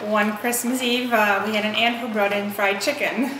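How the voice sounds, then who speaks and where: Amid noticeable background noise and audible room echo, a woman speaks at a moderate pace and fairly high pitch in a monotone, flat intonation. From Poland, moved to US at age eleven. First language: Polish. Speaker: interviewee, Polish immigrant. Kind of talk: interview.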